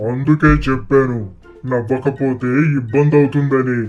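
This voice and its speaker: A man's cartoonish character voice at a medium pitch, fairly slow in pace, with faint music in the background. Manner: playful, jokey.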